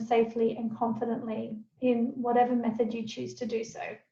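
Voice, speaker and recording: The speech moves at a fairly quick pace. Audible room echo hangs around it. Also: woman. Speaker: essential oil educator and presenter. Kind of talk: webinar presentation. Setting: video call.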